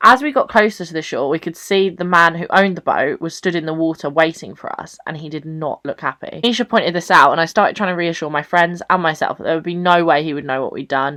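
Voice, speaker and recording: A woman with an English accent has a bright, sharp tone and ordinary pitch variation. She speaks at a very fast pace with big swings in loudness. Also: fairly low pitch for a woman, hardly any pauses. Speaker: YouTuber. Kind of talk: storytelling vlog. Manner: animated.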